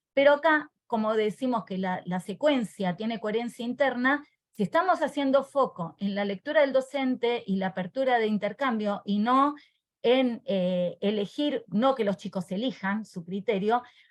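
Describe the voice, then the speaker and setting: Lively intonation marks a plain, everyday voice moving at a moderate pace. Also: woman, fairly high pitch for a woman. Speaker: teacher trainer. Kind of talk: online workshop presentation.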